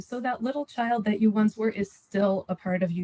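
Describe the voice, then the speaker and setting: A woman's fairly high, somewhat breathy voice with a dark, mellow tone moves at a fairly quick pace in a dry, close sound with no echo. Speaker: parenting panelist. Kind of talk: live panel Q&A. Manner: fast.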